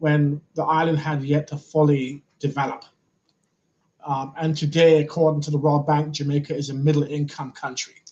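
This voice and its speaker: Somewhat breathy, this voice keeps a moderate pace. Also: man. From London, England. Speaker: nonprofit CEO. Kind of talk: interview.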